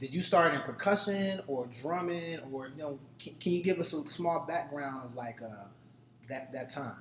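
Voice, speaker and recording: Over noticeable background noise, a man with an American accent speaks at a moderate pace, his fairly high pitch showing ordinary variation and his loudness swinging widely. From Dayton, Ohio. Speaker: podcast host. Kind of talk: interview. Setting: restaurant.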